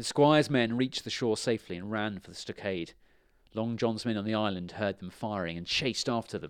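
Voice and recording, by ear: Someone is reading aloud in a natural voice. Pitch varies in an ordinary way.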